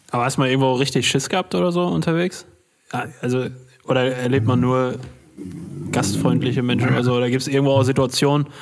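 Though his pace is very fast, this man leaves long, frequent pauses and uses ordinary pitch variation. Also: medium pitch for a man. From Ruhr area, Germany. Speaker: podcast host. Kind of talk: casual interview.

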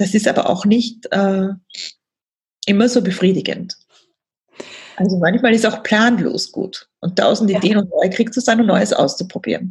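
The speaker sounds somewhat breathy, keeping a fairly even intonation and leaving long, frequent pauses. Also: woman, medium pitch for a woman, moderate pace. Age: 40s. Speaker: coach for women. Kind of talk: podcast interview.

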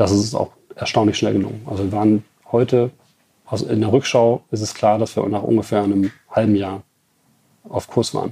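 With a dark, mellow tone and a somewhat breathy, fairly low pitch, a man speaks in a flat monotone with long, frequent pauses, the sound dry and close with no echo. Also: moderate pace. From Germany, Ruhr area (Bottrop). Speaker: car tuning company CEO. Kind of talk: interview. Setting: company premises.

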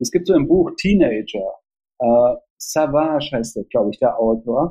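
At a moderate pace, a man speaks in a dark, mellow tone that is somewhat breathy, with a dry, close sound and no echo. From East Germany, Jena. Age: 50s. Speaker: theatre festival director and author. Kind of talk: interview. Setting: remote call.

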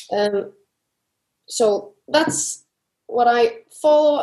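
The voice carries a dark, mellow tone and an Icelandic accent. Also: woman. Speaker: CrossFit athlete. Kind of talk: interview.

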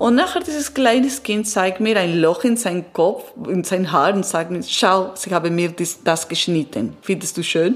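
Against noticeable background noise, a woman in an Italian accent speaks with lively intonation. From Italy and Peru. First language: Italian (speaking German). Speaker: transpersonal coach. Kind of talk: interview testimony. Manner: halting.

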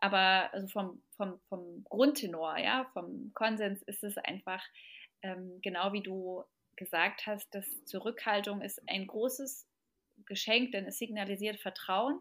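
Her medium-pitched voice moves at a very slow pace as the woman speaks. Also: ordinary pitch variation. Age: 30s. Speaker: parenting expert and mother. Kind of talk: podcast interview.

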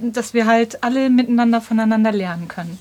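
At a fairly high pitch, this woman's unremarkable speaking voice shows ordinary pitch variation. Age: 40s. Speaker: long-distance cyclist and vegan activist. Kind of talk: casual interview. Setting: home studio.

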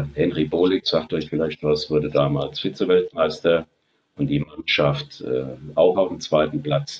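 A man's fairly slow speech, dry and close, without any echo. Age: 60s. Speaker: retired entrepreneur and airshow organizer. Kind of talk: podcast interview.

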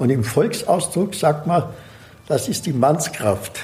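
The speaker has an Austrian accent. The delivery comes at a fairly slow pace. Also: man. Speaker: herb expert and cook. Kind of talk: interview.

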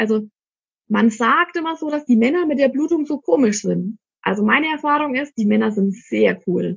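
Lively intonation marks a woman's plain, everyday voice, fairly high in pitch. She speaks at a moderate pace. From Germany, Middle Franconia (Ansbach). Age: 30s. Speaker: shop owner selling cloth pads. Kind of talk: interview. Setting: studio.

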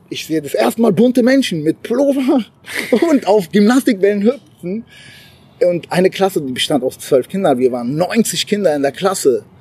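A man with a high voice talks at a moderate pace in an animated tone, his pitch swinging very widely. Noticeable background noise is present. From abroad, moved to Germany at twelve. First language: not German (speaking German). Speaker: entrepreneur. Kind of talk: casual interview. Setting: rehearsal room, then outdoors.

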